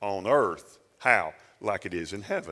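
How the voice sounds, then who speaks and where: A man with a Southern US accent talks at a fairly low pitch. His tone is bright and sharp. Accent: Southern US (Georgia). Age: 50s. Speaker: pastor. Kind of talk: sermon.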